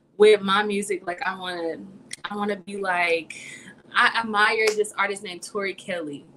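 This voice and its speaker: A woman's voice with big swings in loudness over noticeable background noise. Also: medium pitch for a woman, fairly even intonation, moderate pace. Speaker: singer. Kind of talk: casual chat. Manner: calm.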